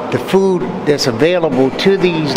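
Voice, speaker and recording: A man's voice at a fairly slow pace with ordinary pitch variation, amid loud background noise. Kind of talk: interview answer. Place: hall. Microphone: handheld.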